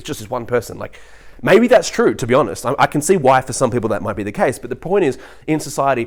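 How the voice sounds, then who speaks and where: Very fast and animated, a man speaks at a medium pitch with lively intonation. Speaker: vlogger. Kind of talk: casual monologue.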